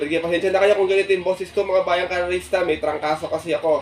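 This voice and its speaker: Speaking very fast, a man uses a high pitch. Noticeable noise runs in the background. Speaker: horse racing tipster YouTuber. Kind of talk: racing tips vlog. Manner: fast listing of names.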